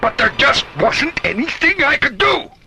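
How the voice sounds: In a put-on character voice, a man talks at an extremely high pitch with big pitch swings, a bright, sharp tone and a moderate pace.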